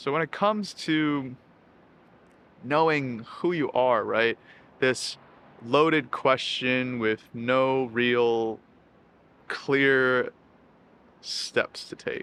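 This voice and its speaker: Pausing long and often, a man speaks at a very slow pace with a bright, sharp tone, medium pitch and ordinary pitch variation. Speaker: self-help YouTuber. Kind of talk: casual monologue to camera.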